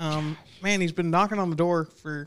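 A man speaks at a high pitch in a monotone, flat intonation. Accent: American. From Oklahoma (Newcastle). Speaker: golf club head professional. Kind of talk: casual chat. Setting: studio.

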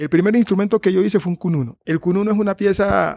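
A man speaks at a moderate pace. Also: dry, close sound with no echo. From Colombian Pacific coast, Tumaco. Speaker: musician. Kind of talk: interview testimony. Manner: halting, many repeated words.

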